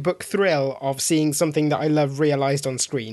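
A man with a fairly high pitch and fairly even intonation has an unremarkable speaking voice. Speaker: podcast co-host. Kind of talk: casual podcast chat about comic book movies.

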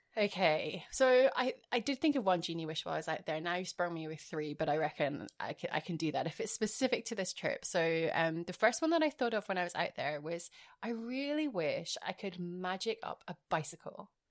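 With an Edinburgh accent, the speaker moves at a fairly quick pace with hardly any pauses and very wide pitch swings. The recording is very clean, the background silent. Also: woman, medium pitch for a woman. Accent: Scottish (Edinburgh). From Scotland, Edinburgh. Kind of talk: casual chat.

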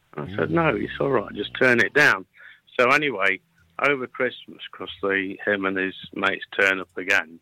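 Someone with a British accent speaks at a moderate pace, the sound dry and close with no echo. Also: man. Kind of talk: casual phone chat. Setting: phone call. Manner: halting, hesitant.

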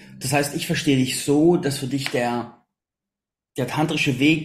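A man with a somewhat breathy voice and fairly high pitch speaks at a moderate pace with fairly even intonation. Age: 30s. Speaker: podcast host. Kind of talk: interview.

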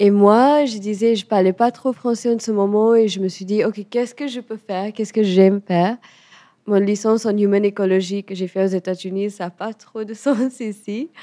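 In a dry, close sound with no echo, a woman speaks at a moderate pace with a dark, mellow tone and fairly even intonation. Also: medium pitch for a woman. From India, Goa and west coast cities. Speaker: chef. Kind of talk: interview conversation. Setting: in a restaurant. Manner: hesitant, searching for words.

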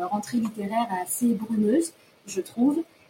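There is noticeable background noise as a woman speaks. Her pitch is fairly high and her pace fairly slow. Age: 20s. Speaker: reader asking a question. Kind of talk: prepared question, read out.

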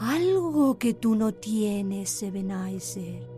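With clear music in the background, a female-sounding voice performs a put-on character voice at a very slow pace. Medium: audio drama. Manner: soft, reproachful.

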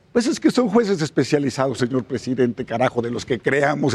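The man talks at a fairly quick pace, and the sound is dry and close with no echo. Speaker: politician. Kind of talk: panel discussion. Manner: animated.

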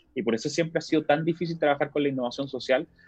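Over music in the background, a man with a Chilean accent talks very fast in a dry, close sound with no echo. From Chile, Antofagasta. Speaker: entrepreneurship expert. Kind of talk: casual interview.

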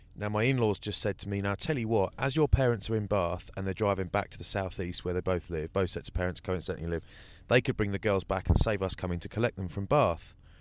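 With an English accent, a man rattles along at a very fast pace with hardly any pauses, his fairly low voice showing ordinary pitch variation on a very clean recording with a silent background. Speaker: rugby pundit. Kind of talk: casual chat.

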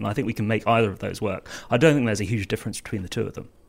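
Vocal fry runs through this man's speech, delivered with a southern English accent. The recording is very clean against a silent background. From southern England, Surrey. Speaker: online political campaign co-founder. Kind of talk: panel discussion.

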